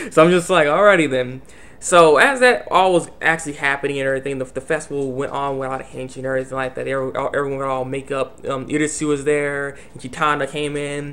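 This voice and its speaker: Very fast male speech at a fairly high pitch, with big swings in loudness, hardly any pauses, and noticeable background noise. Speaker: anime reviewer. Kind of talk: casual video review. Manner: stuttering, repetitive; animated.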